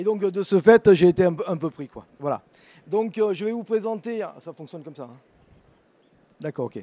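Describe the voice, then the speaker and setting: This man talks at a high pitch in a southern French accent, with a dark, mellow tone, lively intonation and big swings in loudness. His pace is moderate with long, frequent pauses, and the sound is dry and close with no echo. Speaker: vocational teacher. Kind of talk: presentation at an education fair. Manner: halting, many fillers.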